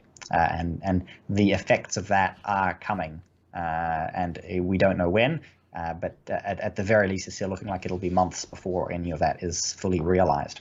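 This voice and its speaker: With a New Zealand accent, a man speaks at a very deep, low pitch with fairly even intonation. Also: moderate pace. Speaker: podcast co-host. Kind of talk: casual chat. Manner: halting, many fillers.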